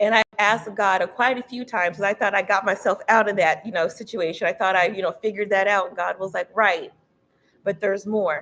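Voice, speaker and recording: A woman speaks with an American accent at a medium pitch, her tone animated and her pace fairly quick. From Texas. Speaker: tarot reader. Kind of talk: live-streamed tarot reading. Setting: livestream on YouTube and Instagram. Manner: fast.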